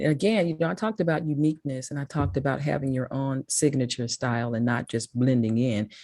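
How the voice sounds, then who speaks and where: A woman's very deep, low voice with a dark, mellow tone and a strong Mississippi accent, at a very fast pace, in a dry, close sound with no echo. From Memphis, Tennessee. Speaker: public speaking consultant. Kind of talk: talk to a school class.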